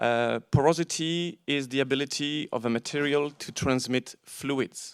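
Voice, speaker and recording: Heard in a very clean recording with a silent background and a dry, close sound with no echo, a man with a fairly high pitch speaks at a fairly slow pace with fairly even intonation. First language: not English. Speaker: panel moderator, bookseller. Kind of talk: panel discussion introduction. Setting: auditorium with audience. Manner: hesitant, with fillers.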